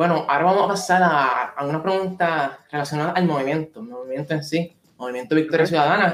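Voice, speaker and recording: Speaking fairly quickly with hardly any pauses, a man with a fairly high voice shows ordinary pitch variation and big swings in loudness. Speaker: podcast host. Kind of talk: interview. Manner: halting.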